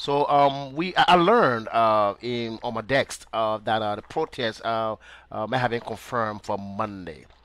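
Very slow speech from a man at medium pitch, with ordinary pitch variation and a dry sound with no echo. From Liberia. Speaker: online talk show host. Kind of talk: interview. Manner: halting, many fillers.

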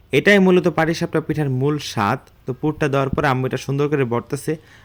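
A man with a central Bangladeshi accent speaks at a fairly high pitch and fairly even intonation. Noticeable background noise runs behind him. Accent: Munshiganj regional dialect. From Bangladesh, Munshiganj. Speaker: vlogger. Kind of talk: casual vlog narration. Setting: rural home, outdoors by the stove.

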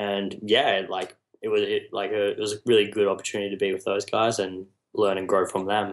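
A man talks at a fairly quick clip with an Australian accent. His fairly low voice stays monotone and flat. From Australia, New South Wales south coast. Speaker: music videographer and photographer. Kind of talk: interview conversation. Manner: articulate.

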